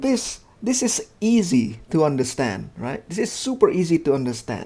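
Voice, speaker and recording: At a fairly slow pace, a man with a dark, mellow tone swings very widely in pitch. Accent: non-native. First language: not English. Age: 30s. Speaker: gaming youtuber. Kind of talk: casual game review commentary.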